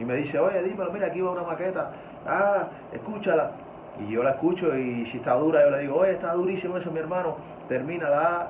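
Over noticeable background noise and audible room echo, a man speaks very fast at a high pitch with ordinary pitch variation. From Cuba. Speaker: music producer. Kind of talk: casual interview.

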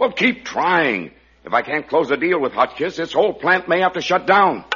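In a put-on character voice, a man speaks at a moderate pace and a fairly high pitch, with big pitch swings, a bright, sharp tone and a husky, rough edge.

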